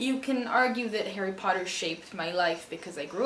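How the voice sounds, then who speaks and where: Noticeable background noise behind a woman speaking at a medium pitch. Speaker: booktuber, aspiring writer. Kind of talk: casual talk to camera.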